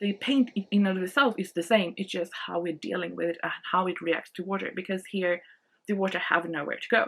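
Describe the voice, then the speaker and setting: Speaking at a fairly quick pace with a Swedish accent, a woman uses a medium pitch and ordinary pitch variation. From Sweden. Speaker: art channel host. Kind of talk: product review. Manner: casual, hesitant with many fillers.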